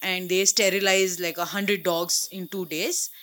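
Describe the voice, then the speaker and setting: A woman talks in a bright, sharp tone. The recording is very clean, with a silent background. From India, Mumbai. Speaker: animal rescuer. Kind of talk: interview. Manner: halting, many fillers.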